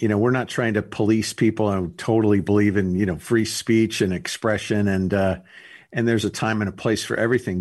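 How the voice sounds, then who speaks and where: An ordinary speaking voice with ordinary pitch variation against a quiet background. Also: man. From US West Coast, Los Angeles. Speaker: comedy entertainment agency owner. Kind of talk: radio interview.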